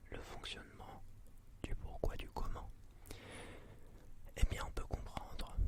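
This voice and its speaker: A man is speaking. He is whispering. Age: 20s. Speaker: ASMR creator. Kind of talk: ASMR channel introduction. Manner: whispered.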